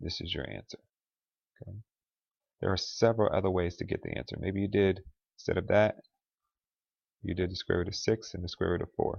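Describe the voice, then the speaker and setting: A man's very deep, low voice, somewhat breathy, with very fast delivery, fairly even intonation and long, frequent pauses. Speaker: math teacher. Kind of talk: lecture.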